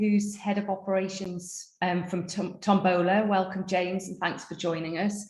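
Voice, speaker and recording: At a fairly slow pace, a woman with a North East England accent speaks with fairly even intonation over noticeable background noise. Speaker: panel moderator. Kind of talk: webinar panel introductions.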